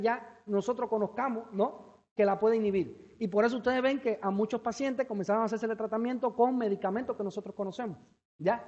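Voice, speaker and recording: A man speaks with a Cuban accent in an extremely high voice. His intonation is fairly even. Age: young. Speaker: researcher. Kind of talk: Q&A answer; lecture. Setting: seminar with audience. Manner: fast; hesitant.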